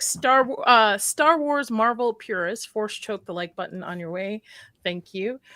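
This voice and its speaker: A woman's voice sits fairly high, with ordinary pitch variation. Her tone is bright and sharp, and the sound is dry and close with no echo. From US, in a mostly Arabic-speaking household. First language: Arabic. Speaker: horror YouTuber, live stream host. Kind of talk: live stream panel chat.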